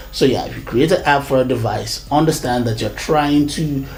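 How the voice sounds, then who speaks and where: The speaker is a man. His voice echoes audibly in the room, and noticeable noise runs behind it. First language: not English. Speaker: tech reviewer. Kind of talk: product review. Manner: halting, many fillers and repetitions.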